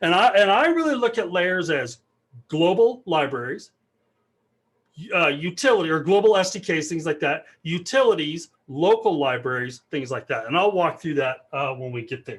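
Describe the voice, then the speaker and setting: Lively intonation marks this man's high-pitched voice, heard over a quiet background. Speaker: developer advocate giving a tech talk. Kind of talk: technical talk with live demo. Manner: fast; casual, filler-heavy.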